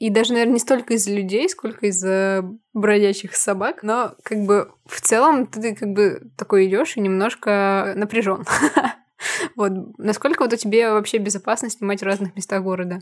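A woman's fairly high pitch moves with ordinary variation as she talks at a moderate pace in an unremarkable speaking voice. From Prokopyevsk, Kemerovo region, Russia. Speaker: podcast co-host, photographer. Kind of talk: casual chat.

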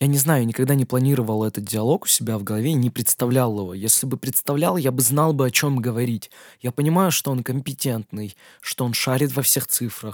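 Recorded with a dry, close sound and no echo, a man speaks in an ordinary speaking voice. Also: medium pitch for a man, ordinary pitch variation. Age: 20s. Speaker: DJ and music producer. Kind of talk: solo Q&A podcast. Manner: casual, with filler sounds.

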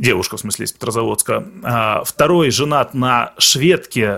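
Lively intonation and a bright, sharp tone mark this man's medium-pitched voice. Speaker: Russian emigrant in Finland. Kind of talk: casual chat. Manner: halting.

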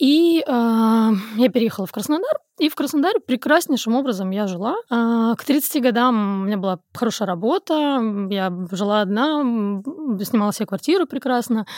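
A woman with an ordinary speaking voice and a fairly high pitch speaks with lively intonation at a moderate pace, on a very clean recording with a silent background and a dry, close sound with no echo. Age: 30s. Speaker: podcast guest. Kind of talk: casual chat.

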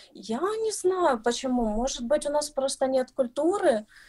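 A woman with very wide pitch swings. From Ukraine, Kyiv. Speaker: footwear designer. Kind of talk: interview. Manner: halting.

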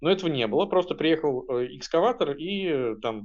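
This man talks at a fairly high pitch in a plain, everyday voice. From Russia, Penza. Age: 30s. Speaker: artist and activist. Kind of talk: personal recollection.

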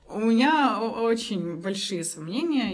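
A woman's voice with audible room echo. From Belarus, Minsk. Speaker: psychologist and coach. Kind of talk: interview.

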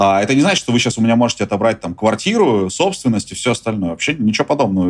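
This man's pitch sits in the medium range. He talks at a very fast pace. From Russia. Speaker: journalist and tour business owner. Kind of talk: interview.

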